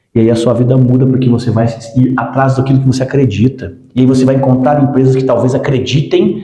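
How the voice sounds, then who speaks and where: Amid audible room echo, a man speaks at a fairly quick pace in a medium pitch with ordinary variation and a dark, mellow, somewhat breathy tone. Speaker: podcast host, company director. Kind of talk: casual podcast conversation. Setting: office podcast set. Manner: animated, emphatic.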